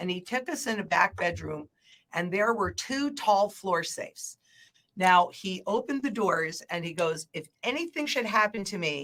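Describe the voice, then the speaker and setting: In a normal speaking voice, a woman of medium pitch talks at a moderate pace with lively intonation. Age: 60s. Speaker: market analyst, former banker. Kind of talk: casual chat.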